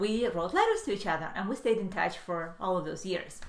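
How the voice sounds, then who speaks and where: A woman speaks fairly quickly in a space with audible room echo and noticeable background noise. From Ukraine, then Israel from teens. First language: Russian. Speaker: manifestation coach. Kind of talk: live stream storytelling. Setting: live video stream. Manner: halting, many fillers.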